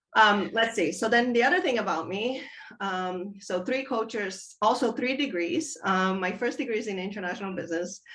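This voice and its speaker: A woman talks at a moderate pace with lively intonation. There is audible echo in the room. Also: fairly high pitch for a woman. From Brazil, São Paulo, Chinese parents. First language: Chinese and Portuguese. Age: 50s. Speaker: business leader. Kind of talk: interview.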